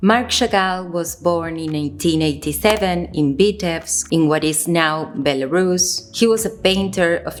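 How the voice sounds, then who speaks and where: Speaking with an Argentine accent, a woman keeps a fairly slow pace. Her pitch sits fairly low. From Argentina. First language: Spanish. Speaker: visual artist and video creator. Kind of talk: video essay while crafting. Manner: careful, somewhat stiff delivery.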